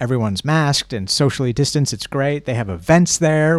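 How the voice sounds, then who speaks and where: This man has a plain, everyday voice, fairly high in pitch, with lively intonation at a fairly quick pace. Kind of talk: radio DJ patter on a live stream: chatty, improvised announcements between songs. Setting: live stream from a bookshop.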